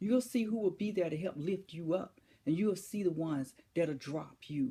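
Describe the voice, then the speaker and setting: Dark and mellow, a woman's somewhat breathy voice sits at a fairly low pitch. She speaks at a moderate pace with lively intonation. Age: 60s. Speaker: motivational speaker. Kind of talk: inspirational speech. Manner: emphatic, repetitive rhetorical questions.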